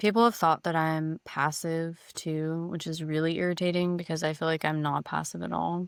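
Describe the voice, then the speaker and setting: With a Californian accent, a woman speaks at a fairly low pitch in a monotone, flat intonation, on a very clean recording with a silent background. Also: dry, close sound with no echo. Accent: General American, Californian. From California, Silicon Valley. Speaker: podcast co-host. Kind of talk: casual chat. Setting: in person, same room.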